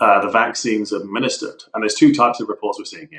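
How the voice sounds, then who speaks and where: Very fast delivery in a southern English accent. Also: man. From southern England, Eastbourne. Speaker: enterprise architect. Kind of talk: casual interview discussion.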